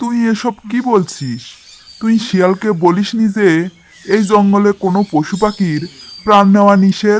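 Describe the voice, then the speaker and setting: A man does a cartoonish character voice at a high pitch and a moderate pace. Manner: commanding, authoritative.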